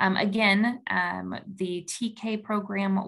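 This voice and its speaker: The voice is somewhat breathy and belongs to a woman. Its pitch lands at a medium level. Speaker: school district administrator. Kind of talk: closing remarks. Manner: hesitant, many fillers.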